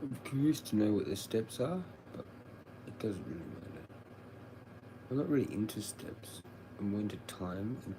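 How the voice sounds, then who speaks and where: With an Australian accent, a man speaks at a moderate pace and a fairly low pitch, his intonation lively, amid noticeable background noise and audible room echo. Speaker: livestreamer. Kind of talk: casual livestream chat. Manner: low, mumbling at times; up and down in volume. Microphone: sometimes too quiet.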